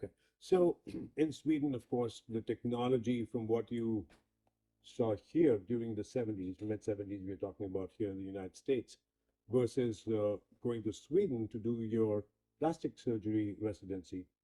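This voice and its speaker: The sound is dry and close with no echo as a man speaks at a medium pitch and moderate pace with ordinary pitch variation. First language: not English. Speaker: interviewer. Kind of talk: interview.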